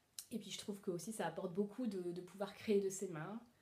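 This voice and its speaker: This voice is somewhat breathy. It belongs to a woman. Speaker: sewing vlogger. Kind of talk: casual Q&A monologue. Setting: at home alone. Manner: hesitant, many fillers.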